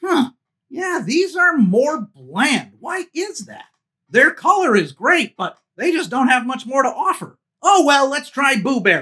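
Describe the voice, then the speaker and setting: The delivery is fairly slow. A high pitch marks this put-on character voice. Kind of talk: food review to camera. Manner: upbeat.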